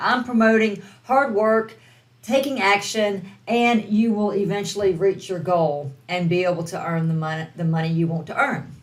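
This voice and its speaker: With a Southern US accent, a woman speaks at a fairly slow pace and with lively intonation, and audible room echo surrounds her voice. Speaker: online business coach. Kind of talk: online course lesson.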